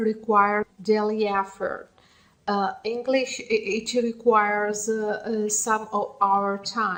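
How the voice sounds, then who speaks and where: Her pitch is fairly high for a woman. She speaks very slowly in a flat monotone. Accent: Italian. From Italy. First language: Italian. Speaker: English learner vlogger. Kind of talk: casual monologue. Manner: halting; mumbling.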